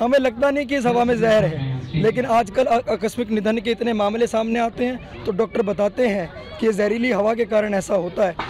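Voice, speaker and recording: A man talks at a moderate pace with hardly any pauses, his pitch high and its variation ordinary. Crowd noise sits in the background. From Delhi. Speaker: NGO general secretary. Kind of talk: street interview.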